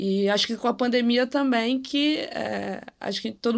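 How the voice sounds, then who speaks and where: The recording is very clean, with a silent background. A woman speaks in a plain, everyday voice with ordinary pitch variation. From Rio de Janeiro, Brazil. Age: 20s. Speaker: data engineer. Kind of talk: casual chat.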